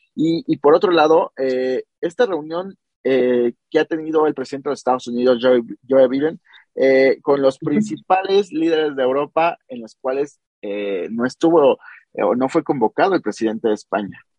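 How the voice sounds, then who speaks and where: Using lively intonation and a fairly high pitch, a man with a Mexican accent speaks at a moderate pace. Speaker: podcast host. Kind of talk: interview.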